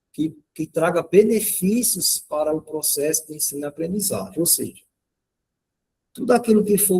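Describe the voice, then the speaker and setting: This man's dark, mellow tone carries lively intonation. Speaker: workshop presenter, math educator. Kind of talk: lecture.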